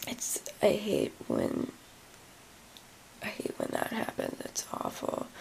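Barely above a whisper, the woman goes at a very slow pace with long, frequent pauses. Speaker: chronic illness vlogger; vlogger. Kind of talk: casual vlog. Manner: hesitant, many fillers. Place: home room. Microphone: phone near.

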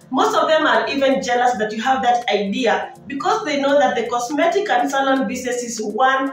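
At a moderate pace, a woman speaks in a high voice, with audible room echo and faint music in the background. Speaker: business vlogger. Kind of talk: casual vlog advice. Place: home room. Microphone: phone near.

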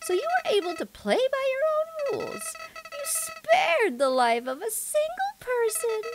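A put-on character voice at an extremely high pitch, with very wide pitch swings and a moderate pace. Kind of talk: game dialogue read aloud. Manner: taunting, smug, menacing.

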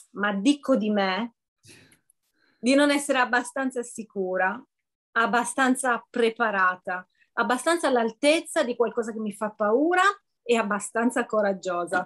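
A woman's fairly high-pitched voice with ordinary pitch variation, a fairly slow pace, long and frequent pauses, and a quiet background. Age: 50s. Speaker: coaching client. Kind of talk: testimony. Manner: hesitant, many fillers. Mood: warm, smiling, grateful. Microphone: video call.

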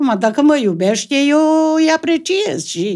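Against a quiet background, a woman with a Transylvanian accent speaks very slowly in a high pitch with very wide pitch swings. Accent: rural Transylvanian Romanian. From Transylvania, Romania. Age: old. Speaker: comedy sketch actress. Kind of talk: casual chat. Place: studio. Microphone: studio mic.

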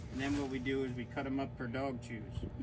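A man's voice under loud background noise. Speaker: farm tour guide. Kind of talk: tour guide explanation. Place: farm machine. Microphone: camera far.

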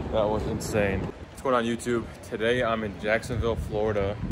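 A man talks at a fairly quick pace. Noticeable background noise can be heard behind him. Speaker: car vlogger. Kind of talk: casual vlog chat. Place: street. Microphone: phone near.

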